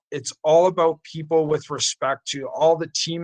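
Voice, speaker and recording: With a normal speaking voice and a fairly high pitch, a man talks at a moderate pace in a dry, close sound with no echo. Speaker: youth sports organization leader. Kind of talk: interview conversation.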